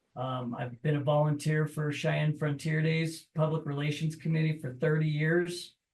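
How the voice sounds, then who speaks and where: With an American accent, a man speaks at a moderate pace and fairly high pitch in a monotone, flat intonation, with hardly any pauses. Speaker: political candidate. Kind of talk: candidate forum introduction.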